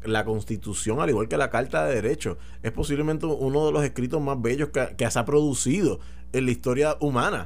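A man speaks with lively intonation. Background noise is noticeable. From Puerto Rico. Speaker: political commentator. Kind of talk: radio talk show discussion.

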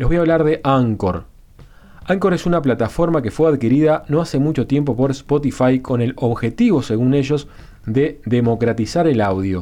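Lively intonation and very even loudness mark this dark, mellow voice, delivered at a moderate pace. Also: man, medium pitch for a man. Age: 30s. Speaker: podcast host. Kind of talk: casual monologue.

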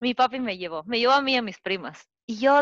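A woman with ordinary pitch variation, dry, close sound without echo, and a quiet background. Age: 30s. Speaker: podcast co-host, graphic designer. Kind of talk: casual chat.

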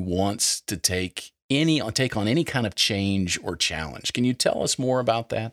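A man speaks in a plain, everyday voice at a fairly slow pace with lively intonation. The recording is very clean and dry, close with no echo and a silent background. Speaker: podcast host. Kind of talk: podcast interview.

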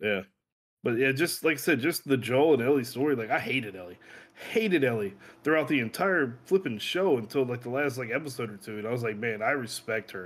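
A man with an ordinary speaking voice talks at a fairly quick pace, his medium pitch carried by lively intonation. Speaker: guest. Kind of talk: casual chat. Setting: video call.

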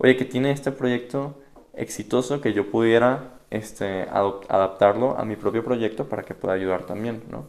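A plain, everyday voice from a man, medium in pitch with ordinary pitch variation, at a fairly slow pace. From Venezuela (Caracas). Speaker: religious candidate, digital evangelization worker. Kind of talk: casual interview.

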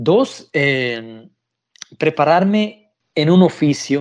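Fairly high-pitched male speech with ordinary pitch movement. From El Salvador. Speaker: caregiver. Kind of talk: interview. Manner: halting.

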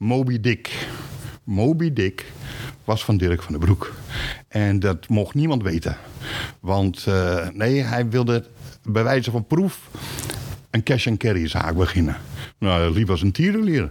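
A man's fairly low voice with lively intonation, a very slow pace and long, frequent pauses, over noticeable background noise. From Groningen, northern Netherlands. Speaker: retired supermarket employee and company archivist. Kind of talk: interview. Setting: basement archive room. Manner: halting.

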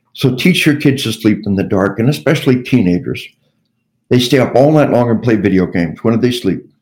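A man speaks at a medium pitch with an American accent, in a normal speaking voice. His intonation is lively. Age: 60s. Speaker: retired army officer and lecturer. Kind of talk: interview.

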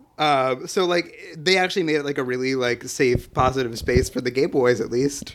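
A man with an American accent speaks at medium pitch and a moderate pace, with ordinary pitch variation and hardly any pauses, over noticeable background noise. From New Jersey and Pennsylvania. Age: 20s. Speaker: photographer and podcast editor. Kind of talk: casual chat.

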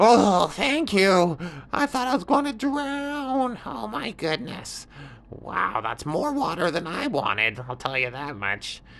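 Using a put-on character voice at a middle pitch, the speaker moves at a fairly slow pace with very wide pitch swings. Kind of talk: bedtime story character voice. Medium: read story. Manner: brash, casual, a little defensive.

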